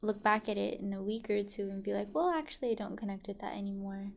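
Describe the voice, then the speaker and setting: Soft-spoken and in an American accent, a woman talks at a fairly quick pace with a medium pitch and fairly even intonation. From Richmond, California, US. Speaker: musician and rapper. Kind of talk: interview conversation.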